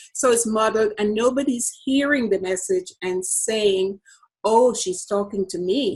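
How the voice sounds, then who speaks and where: A woman talks in a Jamaican accent at a fairly slow pace. Her pitch is fairly high, with ordinary variation. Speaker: business coach. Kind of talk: podcast interview.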